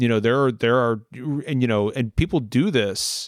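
A man with an American accent talks in an unremarkable speaking voice at a moderate pace and medium pitch with ordinary pitch variation, on a very clean recording with a silent background. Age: 40s. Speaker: war veteran. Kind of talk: casual chat.

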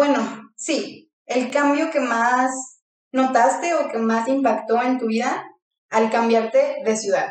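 Music plays behind a woman with a high voice, and the room echo is audible. She talks very slowly with fairly even intonation. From Mexico, León, Guanajuato. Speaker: podcast co-host. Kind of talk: casual chat.

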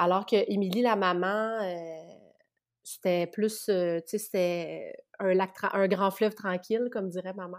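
In a Quebec accent, the speaker talks very slowly with a monotone, flat intonation and long, frequent pauses, on a very clean recording with a silent background. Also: woman, medium pitch for a woman. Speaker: spiritual practitioner. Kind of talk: casual interview.

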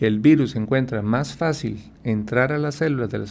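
A man speaks at a moderate pace in a normal speaking voice, his intonation lively. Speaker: endocrinologist doctor. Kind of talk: radio health interview.

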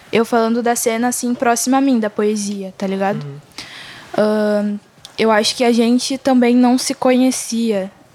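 A fairly high-pitched woman's voice at a fairly slow pace, with ordinary pitch variation and noticeable background noise. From Rio Grande do Sul, Brazil. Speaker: singer-songwriter and slam poet. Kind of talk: casual interview.

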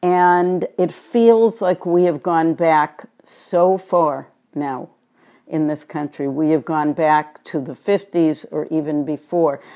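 With a slight Boston accent, a woman speaks at a very slow pace in a dark, mellow tone, her fairly low pitch showing ordinary variation over a quiet background. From Boston, US. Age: 70s. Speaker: retired psychiatric nurse. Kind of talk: interview.

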